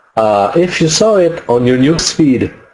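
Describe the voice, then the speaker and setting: With a French accent, a man talks at a fairly high pitch. His intonation is lively. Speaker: online marketing webinar presenter; webinar presenter. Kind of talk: webinar tutorial. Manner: halting, many fillers. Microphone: webcam.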